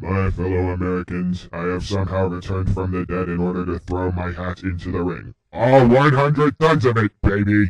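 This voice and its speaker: A man speaks in a put-on character voice, pitched very deep and low. He keeps a moderate pace with hardly any pauses. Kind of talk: pompous oratory with slang. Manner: boastful, grandiose.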